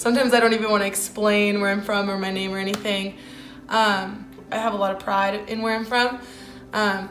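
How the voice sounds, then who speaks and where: A woman speaks at a very fast pace with a fairly high pitch. Audible room echo and noticeable background noise surround her voice. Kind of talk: casual interview answers.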